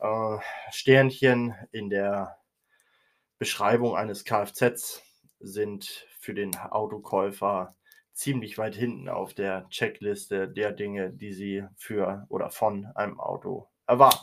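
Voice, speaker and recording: A man's fairly low voice at a very slow pace, fairly even in intonation but with big swings in loudness, on a very clean recording with a silent background. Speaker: podcast host. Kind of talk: opinion monologue. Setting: home recording room, nearly emptied while moving.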